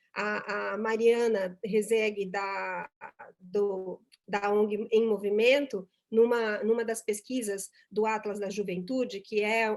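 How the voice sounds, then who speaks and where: A woman's fairly high voice unfolds at a fairly slow pace. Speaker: speaker at a corporate volunteering event. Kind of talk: conference talk.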